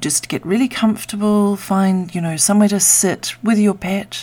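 A woman uses a normal speaking voice. Her pitch is medium and her intonation fairly even. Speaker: meditation guide. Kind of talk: guided meditation. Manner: slow, soothing and gentle; calm and unhurried, with long pauses.

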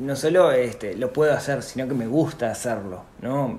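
A man speaks at a medium pitch with ordinary pitch variation. Both audible room echo and noticeable background noise are present. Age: 40s. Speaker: personal finance podcaster and entrepreneur. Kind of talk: interview conversation.

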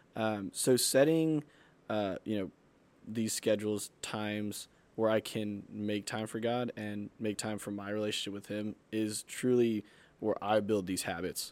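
In a very clean recording with a silent background, a man with an unremarkable speaking voice talks at a fairly slow pace, fairly low in pitch, with fairly even intonation. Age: 20s. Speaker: youth pastor. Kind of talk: casual chat.

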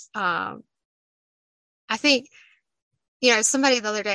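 A woman with an Appalachian accent and a bright, sharp tone, talking at a fairly quick pace over a quiet background. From Southwest Virginia, Appalachia. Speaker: poet and Appalachian native. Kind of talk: casual interview conversation. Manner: more animated when excited.

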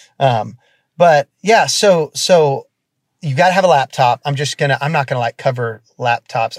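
The sound is dry and close with no echo as a man speaks at a moderate pace, somewhat breathy, with ordinary pitch variation. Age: 30s. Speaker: worship leader and co-pastor. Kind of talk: casual interview.

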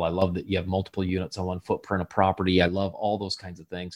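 In a very clean recording with a silent background, a man with an American accent speaks in a very deep, low voice. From US Midwest, southwest Michigan. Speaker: real estate investor and leadership speaker. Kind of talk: podcast interview. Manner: animated.

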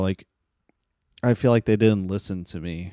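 Very deep and low in pitch, a man with an American accent has a dark, mellow tone, heard in a dry, close sound with no echo on a very clean recording with a silent background. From Las Vegas, Nevada. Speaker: podcast co-host. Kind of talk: personal storytelling monologue. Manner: halting, stammering.

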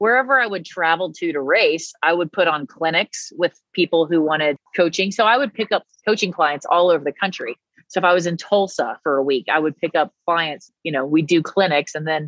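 A woman with an American accent talks at a fairly quick pace, using an unremarkable speaking voice. Her pitch is fairly low, with ordinary variation. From US South, Nashville, Tennessee. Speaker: former pro cyclist and endurance coach. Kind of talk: casual interview chat.

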